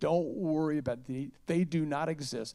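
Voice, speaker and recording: Animated in tone, a man with fairly high pitch talks at a moderate pace with ordinary pitch variation. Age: 60s. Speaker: music booking agent. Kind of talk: fireside chat interview. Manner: animated storytelling.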